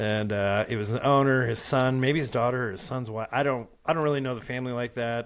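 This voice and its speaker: Speaking with medium pitch and ordinary pitch variation, this man has an ordinary speaking voice. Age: 40s. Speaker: podcast co-host. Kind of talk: casual chat. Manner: casual, profane banter.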